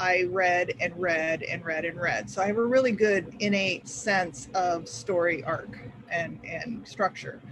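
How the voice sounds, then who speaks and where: The speech moves along at a moderate pace, with noticeable background noise behind it. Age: 60s. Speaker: author. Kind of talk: panel discussion.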